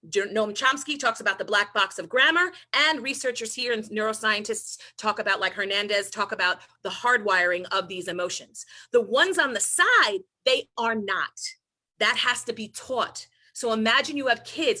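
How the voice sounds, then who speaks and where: In a New York accent, a woman speaks with a bright, sharp tone and lively intonation. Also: fairly high pitch for a woman, moderate pace. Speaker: presenter at an educator training on social-emotional learning. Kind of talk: professional talk, conversational.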